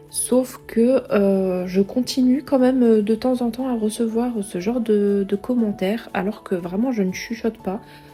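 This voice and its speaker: Over music in the background, a woman with a fairly high pitch talks at a fairly slow pace with fairly even intonation and hardly any pauses. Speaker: home cooking vlogger. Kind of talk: cooking tutorial voice-over. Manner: louder than usual; hesitant, many euh.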